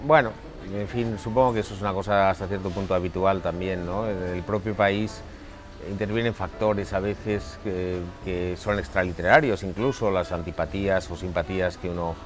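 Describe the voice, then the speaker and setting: Against clear music in the background, a man with a fairly low pitch speaks at a moderate pace with ordinary pitch variation. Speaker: interviewee. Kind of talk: interview answer. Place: garden. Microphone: lapel.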